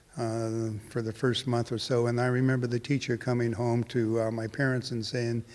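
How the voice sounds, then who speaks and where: A man with a Californian accent speaks at a moderate pace in a medium pitch, with hardly any pauses and a monotone, flat intonation. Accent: American (California). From California (Hanford, Central Valley). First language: Portuguese. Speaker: winemaker. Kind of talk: interview. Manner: halting, many fillers.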